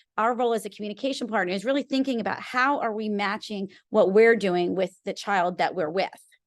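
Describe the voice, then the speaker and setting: A woman speaks at a fairly quick pace in a fairly high pitch with ordinary pitch variation, an ordinary speaking voice against a quiet background. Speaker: speech pathologist. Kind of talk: presentation. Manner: conversational.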